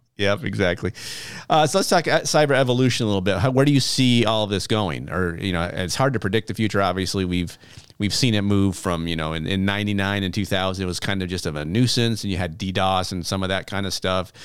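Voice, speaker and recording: Amid noticeable background noise, the speech runs at a very fast pace with ordinary pitch variation. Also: man, fairly low pitch for a man. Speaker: podcast host. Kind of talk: casual interview.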